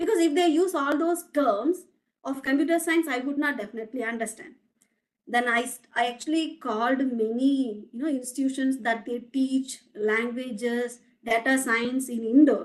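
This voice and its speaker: A woman talks with a Tamil accent at a high pitch. Her pace is moderate, and her pitch variation is ordinary. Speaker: academic researcher, guest speaker. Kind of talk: lecture. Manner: halting, frequent restarts.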